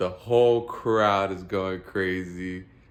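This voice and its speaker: Amid audible room echo, a man speaks in an animated tone with ordinary pitch variation. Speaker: vlogger, amateur musician. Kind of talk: casual storytelling monologue.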